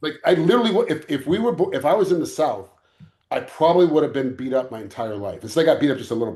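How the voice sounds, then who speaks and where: Talking at a very fast pace, a man with a dark, mellow tone and fairly high pitch makes very wide pitch swings. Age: 50s. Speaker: UFC fighter, referee, stuntman and actor. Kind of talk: casual chat. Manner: animated; halting.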